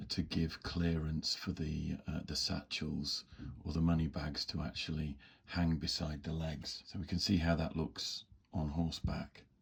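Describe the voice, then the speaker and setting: Monotone, flat intonation at a fairly slow pace, somewhat breathy. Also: man, very deep, low pitch for a man. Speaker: miniature model hobbyist. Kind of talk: hobby tutorial narration.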